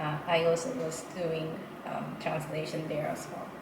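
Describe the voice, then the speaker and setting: A woman talks at a fairly low pitch, with audible room echo and noticeable background noise around her. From Japan, Nara. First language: Japanese. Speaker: interpreter. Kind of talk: interview. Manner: hesitant, many fillers.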